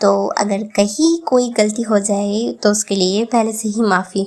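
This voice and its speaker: A woman speaks with a Bengali accent. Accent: Bengali-accented Hindi. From Bengal, India. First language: Bengali (speaking Hindi). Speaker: travel vlogger. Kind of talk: vlog narration.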